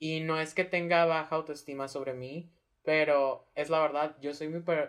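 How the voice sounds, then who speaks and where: Against a quiet background, the words unfold at a fairly slow pace. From Hermosillo, Sonora, Mexico. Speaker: drag performer. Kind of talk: casual interview chat.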